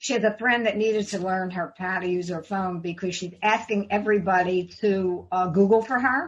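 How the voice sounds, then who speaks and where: With fairly even intonation, a woman speaks at a moderate pace in a somewhat breathy voice. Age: 80s+. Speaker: life coach. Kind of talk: interview answer.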